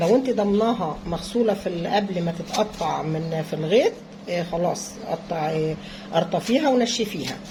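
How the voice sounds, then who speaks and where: A woman at a fairly slow pace with ordinary pitch variation, over noticeable background noise. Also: medium pitch for a woman. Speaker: home cooking vlogger. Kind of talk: cooking tutorial. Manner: halting.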